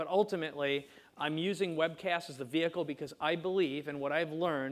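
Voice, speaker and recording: In a Minnesota accent, a man with a fairly high pitch talks at a fairly quick pace with fairly even intonation. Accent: Minnesota long O's. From US Midwest, small-town Minnesota. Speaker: entrepreneur, video marketing expert. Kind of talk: presentation talk. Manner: fast.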